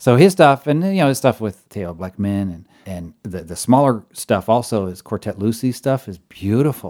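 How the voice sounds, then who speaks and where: A man talks at a moderate pace with lively intonation, a medium pitch, and a dark, mellow tone, his loudness swinging widely. There are hardly any pauses, and the recording is very clean with a silent background. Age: 40s. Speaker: jazz arranger and band director. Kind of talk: casual interview.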